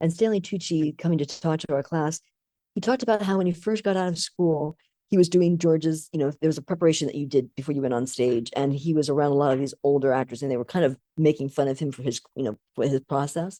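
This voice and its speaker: A woman talks at a very fast pace with a very deep, low pitch and a dark, mellow tone. Her intonation is lively, and the sound is dry and close with no echo. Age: 60s. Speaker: film producer and actress. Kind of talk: interview conversation.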